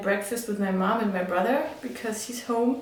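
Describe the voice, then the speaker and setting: A woman with a German accent speaks fairly high for a woman, with ordinary pitch variation. Noticeable background noise and audible room echo fill the recording. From Germany. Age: 20s. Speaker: vlogger and midwife student. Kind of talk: casual vlog talk. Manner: halting, many fillers.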